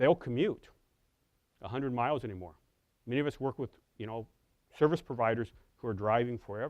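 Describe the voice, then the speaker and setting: This man speaks with an American accent. His pace is very fast. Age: 50s. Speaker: professor. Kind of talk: lecture. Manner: halting, many fillers.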